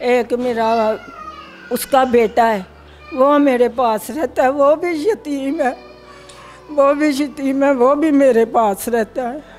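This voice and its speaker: Music plays in the background while a woman speaks. Her voice is high-pitched with ordinary pitch variation and long, frequent pauses. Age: 80s+. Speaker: elderly widow in a property dispute. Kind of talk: interview testimony. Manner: halting.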